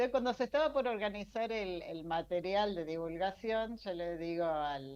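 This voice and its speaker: The background is quiet. A woman with a normal speaking voice talks at a moderate pace. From Argentina, Mar del Plata. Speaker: science journalist. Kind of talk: interview. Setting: video call.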